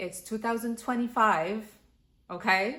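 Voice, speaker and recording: Her intonation fairly even, a woman talks with a French accent. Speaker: lifestyle vlogger. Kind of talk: casual vlog talk.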